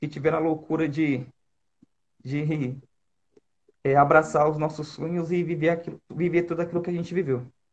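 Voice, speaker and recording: Monotone, flat delivery with long, frequent pauses. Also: man, fairly high pitch for a man, moderate pace. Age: 30s. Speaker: youth leader. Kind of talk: casual chat.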